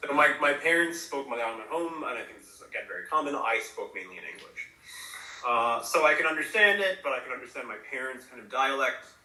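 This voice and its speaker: Very fast male speech with lively intonation and big swings in loudness, plus audible room echo and noticeable background noise. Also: fairly high pitch for a man. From US, partly raised in Chennai, India. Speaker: university lecturer in Sanskrit and Tamil. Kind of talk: interview conversation. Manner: hesitant, many fillers.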